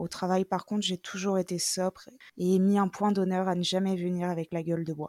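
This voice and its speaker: A woman speaks in a dark, mellow tone at medium pitch and moderate pace. Her intonation is monotone and flat, with a dry, close sound and no echo. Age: 20s. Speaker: security guard sharing her story. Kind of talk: testimony.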